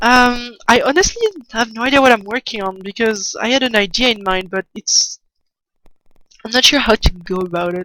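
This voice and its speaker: A woman with a French accent speaks at a moderate pace with ordinary pitch variation and a bright, sharp tone. The recording is dry and close, with no echo. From France. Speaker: artist streamer. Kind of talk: casual livestream chat while drawing. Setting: livestream. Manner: halting, many restarts. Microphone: poor sound early in stream.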